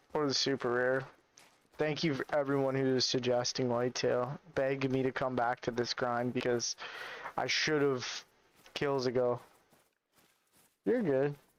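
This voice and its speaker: Quiet and very even in loudness, a man at medium pitch speaks in a monotone, flat intonation at a fairly slow pace, with long, frequent pauses. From Canada. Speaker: gaming streamer. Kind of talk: live stream commentary. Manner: casual.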